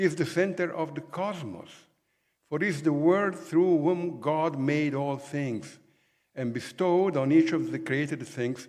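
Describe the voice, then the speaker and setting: A man's fairly high-pitched voice at a fairly slow pace, with audible room echo. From Italy. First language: Italian. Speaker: professor. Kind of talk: lecture.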